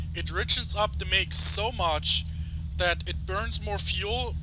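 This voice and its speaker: Through noticeable background noise, a man speaks at a very slow pace in a very deep, low pitch. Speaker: video game tutorial creator. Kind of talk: tutorial. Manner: halting; loud.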